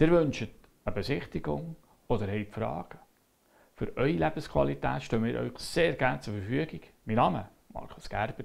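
With a quiet background, a man with a fairly low voice and vocal fry talks at a moderate pace, his pitch swinging very widely between long, frequent pauses. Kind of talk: promotional presentation. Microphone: lapel.

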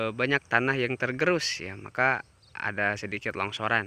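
A man's bright, sharp tone at a moderate pace, with ordinary pitch variation and a dry sound with no echo. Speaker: railfan vlogger. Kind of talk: casual vlog chat. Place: open country. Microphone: phone near.

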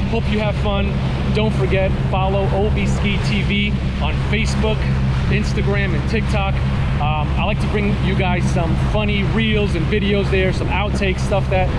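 At a moderate pace, the speaking continues as music plays in the background. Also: man. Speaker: watercraft vlogger. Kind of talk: casual vlog chat. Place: boat. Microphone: phone near.

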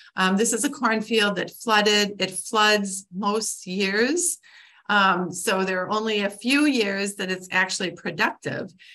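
A woman with an Upper Midwest accent, a bright, sharp tone, a fairly slow pace and ordinary pitch variation, against a quiet background. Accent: Upper Midwest American. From Wisconsin (Clintonville); Wisconsin. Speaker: conservation biologist; guest. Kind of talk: lecture. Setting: video call. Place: home room. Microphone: video call.

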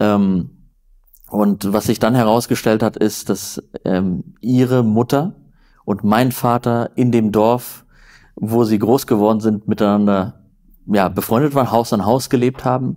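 In a quiet setting, a dark, mellow voice moves at a fairly slow pace with very even loudness, fairly even intonation and long, frequent pauses. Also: man. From northern Germany, near Flensburg; Germany. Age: 30s. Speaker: journalist; journalist guest. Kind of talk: interview conversation. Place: home room. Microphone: lapel.

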